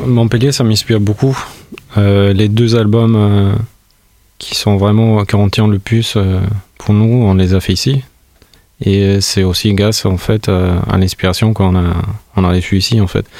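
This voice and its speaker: Fairly low in pitch, a man speaks at a fairly slow pace with very even loudness, fairly even intonation, and long, frequent pauses. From Albania, Tirana. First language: Albanian (speaking French). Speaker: musician. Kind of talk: interview monologue. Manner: halting.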